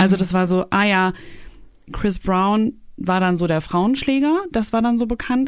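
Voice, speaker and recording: In a plain, everyday voice, a woman speaks at a medium pitch and a moderate pace with ordinary pitch variation. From Germany, Cologne. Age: 30s. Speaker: YouTuber. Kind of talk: casual interview.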